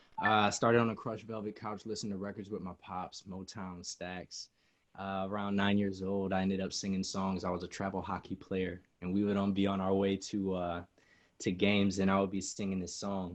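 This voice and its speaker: A man with an American accent, fairly low in pitch, fairly quick, with monotone, flat intonation over a quiet background. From Michigan, US. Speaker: singer-songwriter. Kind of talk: interview.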